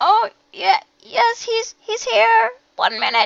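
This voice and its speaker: This put-on character voice is squeaky and extremely high. Its pitch swings very widely. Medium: actual play.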